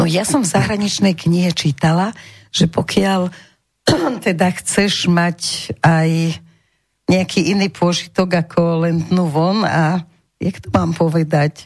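A woman speaks in a fairly low pitch and a somewhat breathy voice, going at a fairly slow pace with fairly even intonation. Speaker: radio talk show host. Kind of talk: radio talk show. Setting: radio studio. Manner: seductive, cooing.

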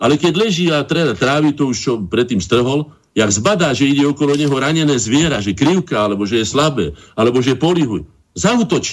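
A man's fairly high-pitched voice with vocal fry, a moderate pace and very even loudness. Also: lively intonation, hardly any pauses. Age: 60s. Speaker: painter and cultural association chairman. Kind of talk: radio interview.

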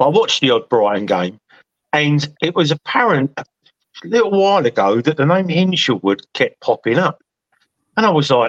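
A man at a moderate pace with a fairly high pitch and very wide pitch swings, long and frequent pauses, and a dry, close sound with no echo. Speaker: football fan panellist. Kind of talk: casual chat. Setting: video call.

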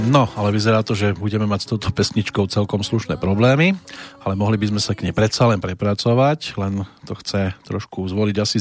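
A man talks at a moderate pace with a fairly low pitch and a normal speaking voice. The sound is dry and close, with no echo. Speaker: radio music show host. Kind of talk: radio music show presenting.

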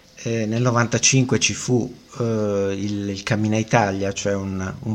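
A man speaks in a plain, everyday voice. His pitch is fairly low and his intonation fairly even. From Italian coast. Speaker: long-distance walker and travel writer. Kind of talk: radio interview.

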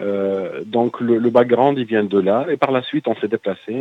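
A man speaks in a normal speaking voice at a fairly slow pace. His pitch varies in an ordinary way. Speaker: metal band singer. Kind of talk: radio interview.

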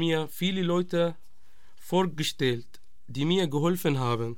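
A man speaks with an Arabic accent in a high voice. His delivery is very slow, and the room echo is audible. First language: Arabic (speaking German). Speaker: refugee, radio project member. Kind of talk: testimony.

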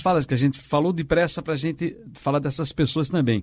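A somewhat breathy man's voice, fairly high-pitched, with ordinary pitch variation and a very fast pace. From Pernambuco, Brazil (São Lourenço da Mata). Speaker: radio journalist and co-host. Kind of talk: casual chat.

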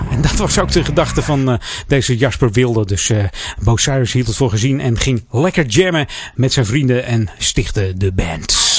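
A man talks at an average speed while music plays in the background. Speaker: radio host. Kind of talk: radio DJ patter introducing songs with music trivia. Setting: radio studio. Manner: relaxed chatty; casual, with filler words and trailing off.

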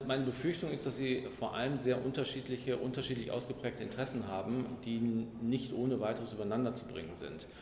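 Noticeable background noise and audible room echo surround a man talking at a very fast pace. His pitch is medium, with ordinary pitch variation. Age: 50s. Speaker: communications executive. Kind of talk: interview.

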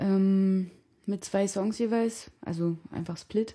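Speaking at a very slow pace, a woman uses a medium pitch and a dark, mellow tone. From Saxony, Sebnitz. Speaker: drummer. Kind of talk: casual radio conversation. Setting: at the guest's home.

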